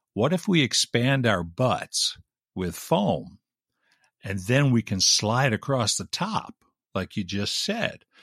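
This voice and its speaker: A man with an American accent at a medium pitch, very wide pitch swings and a very slow pace, in a very clean, dry, close recording with a silent background and no echo. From Long Island, New York. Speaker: radio host. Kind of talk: casual chat.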